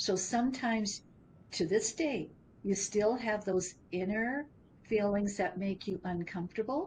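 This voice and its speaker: A woman talks at a fairly slow pace, her medium-pitched voice somewhat breathy. Her pitch varies in an ordinary way. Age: 70s. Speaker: business founder. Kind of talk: interview conversation.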